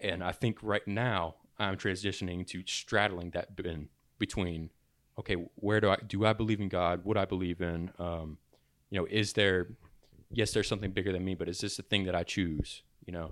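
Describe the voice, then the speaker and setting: With a very deep, low pitch and fairly even intonation, a man talks at a moderate pace on a very clean recording with a silent background. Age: 20s. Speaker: podcast co-host. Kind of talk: casual chat.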